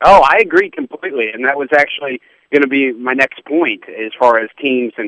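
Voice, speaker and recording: Moderate pace and ordinary pitch variation from a man with an ordinary speaking voice. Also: dry, close sound with no echo. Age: 30s. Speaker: sports radio host. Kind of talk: radio interview. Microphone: line broke up.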